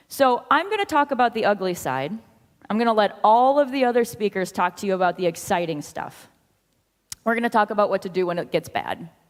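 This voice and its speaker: Talking at a fairly quick pace, a woman with an American accent uses a fairly high pitch and lively intonation. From US Midwest. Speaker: software consultant, conference speaker. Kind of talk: conference talk. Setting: stage with audience.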